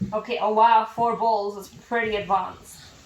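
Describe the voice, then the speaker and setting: A woman speaks in a fairly high pitch with a playful tone, yet her intonation stays monotone and flat. Noticeable background noise is present. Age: 20s. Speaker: mother, family vlogger. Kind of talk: casual family vlog talk. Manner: playful, talking to young children.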